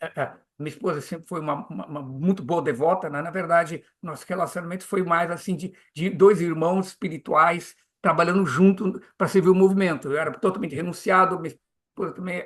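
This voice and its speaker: Fairly quick and high-pitched, a man's voice holds fairly even intonation while its loudness swings widely. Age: 70s. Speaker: Hare Krishna preacher and teacher. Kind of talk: interview conversation. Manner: halting, many repetitions and fillers.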